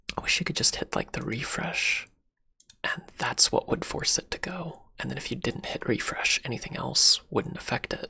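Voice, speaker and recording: Words come out at a moderate pace. The delivery is a whisper. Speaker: ASMR streamer. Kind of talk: ASMR livestream chat. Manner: whispering; halting.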